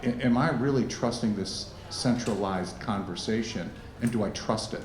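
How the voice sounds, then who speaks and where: A man's voice with ordinary pitch variation, audible room echo and noticeable background noise. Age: 60s. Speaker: wealth manager. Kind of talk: fireside chat.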